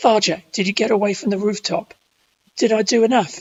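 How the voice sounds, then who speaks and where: A female-sounding, put-on character voice, gravelly and raspy, sits at fairly high pitch. It moves at a fairly quick pace. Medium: read story.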